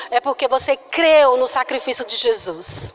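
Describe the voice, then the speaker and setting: A woman's voice over noticeable background noise. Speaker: preacher. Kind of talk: sermon. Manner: soft-spoken.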